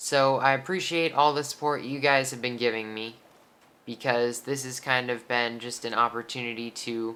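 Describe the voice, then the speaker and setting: At a moderate pace, a woman speaks with a very deep, low pitch, a bright, sharp tone, fairly even intonation and big swings in loudness. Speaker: gaming YouTuber. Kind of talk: personal talk to viewers. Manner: halting.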